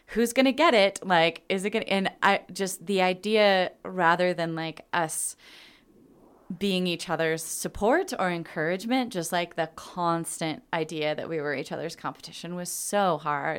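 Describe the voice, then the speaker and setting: This woman has an ordinary speaking voice with a fairly low pitch and ordinary pitch variation, talking at a moderate pace. The recording is very clean and the background silent. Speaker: theater podcast host. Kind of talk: casual chat. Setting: studio.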